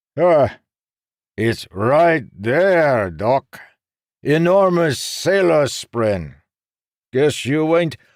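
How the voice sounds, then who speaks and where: Using a put-on character voice, a man speaks very slowly with long, frequent pauses and very even loudness. His intonation is lively, his pitch fairly high, and the recording very clean over a silent background. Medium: read story. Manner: playful, teasing.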